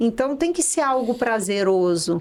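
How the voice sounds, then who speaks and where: Here a woman talks with a São Paulo interior accent. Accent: caipira São Paulo interior. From Brazil, interior of São Paulo state (São José do Rio Preto). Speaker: dentist. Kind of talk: interview podcast.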